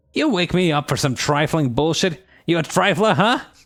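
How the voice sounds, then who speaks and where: A man puts on a character voice with a strong New York accent and a high pitch. The recording is very clean, with a silent background. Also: moderate pace. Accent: heavy New York. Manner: irritated, gruff.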